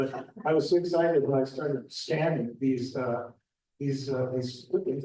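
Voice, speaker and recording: A man's fairly high voice carries a dark, mellow tone and is somewhat breathy. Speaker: local historian presenter. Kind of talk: public talk with slides.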